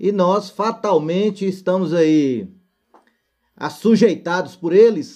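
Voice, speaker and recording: This man's voice has a dark, mellow tone. He speaks at a high pitch. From northern Minas Gerais, Brazil (Montes Claros). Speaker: co-host, works in technology. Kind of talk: casual chat, audience question.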